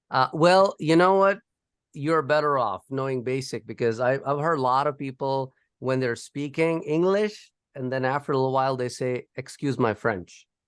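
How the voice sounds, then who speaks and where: With a non-native accent, a man speaks at medium pitch with ordinary pitch variation over a quiet background. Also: moderate pace. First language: not English. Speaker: professor. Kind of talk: lecture.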